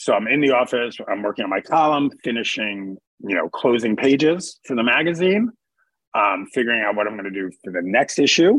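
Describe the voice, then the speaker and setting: In a normal speaking voice with an American accent, a man talks at a fairly quick pace, his medium pitch carrying lively intonation. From New York City, Queens. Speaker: entertainment journalist. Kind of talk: interview. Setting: remote call.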